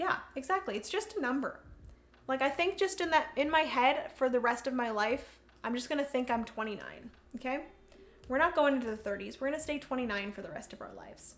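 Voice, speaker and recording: Delivered at a fairly quick pace, the speech has lively intonation and big swings in loudness. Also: woman, high pitch for a woman. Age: 20s. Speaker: board game streamer. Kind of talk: casual chat. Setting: livestream.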